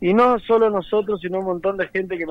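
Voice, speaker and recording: A man's fairly quick delivery. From San Juan, Argentina. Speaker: racing driver. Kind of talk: phone interview.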